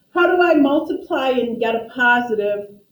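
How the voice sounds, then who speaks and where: Fairly slow speech with ordinary pitch variation and audible room echo. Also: woman. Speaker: math teacher. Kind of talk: classroom lecture. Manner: soft-spoken.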